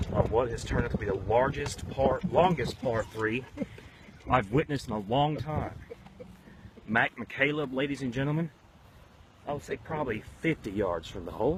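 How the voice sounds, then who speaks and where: A man talks at a moderate pace and a medium pitch, with lively intonation. He leaves long, frequent pauses, and there is noticeable background noise. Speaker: golf commentator. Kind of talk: live commentary. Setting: outdoors. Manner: whispering.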